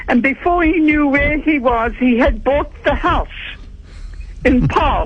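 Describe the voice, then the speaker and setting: Very slow speech broken by long, frequent pauses, over noticeable background noise. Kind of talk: radio call-in anecdote. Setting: phone line.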